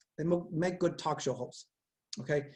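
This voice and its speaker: A man's fairly high-pitched voice in an energetic tone. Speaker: psychology professor. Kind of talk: lecture. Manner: fast.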